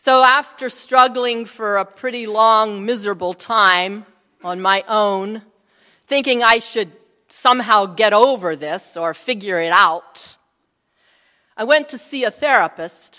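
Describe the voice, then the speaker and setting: A woman speaks at a fairly slow pace in a fairly high pitch with ordinary pitch variation. Her tone is bright and sharp, on a very clean recording with a silent background. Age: 60s. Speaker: pastor. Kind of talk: sermon.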